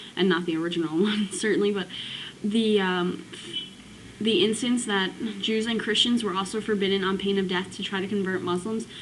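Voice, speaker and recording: A woman talks with fairly even intonation while noticeable background noise carries on. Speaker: student. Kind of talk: casual talk to camera. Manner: hesitant, stuttering.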